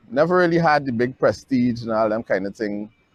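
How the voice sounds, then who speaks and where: With a Guyanese accent, a man speaks at a fairly quick pace. His pitch varies in an ordinary way, and the sound is dry and close with no echo. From Guyana. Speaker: filmmaker. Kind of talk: personal testimony.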